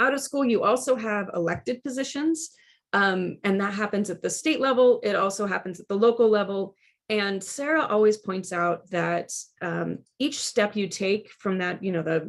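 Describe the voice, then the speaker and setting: With a Midwestern American accent, a woman talks at a medium pitch with lively intonation. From Kansas, Wichita. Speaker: education presenter. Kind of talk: lecture. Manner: fast.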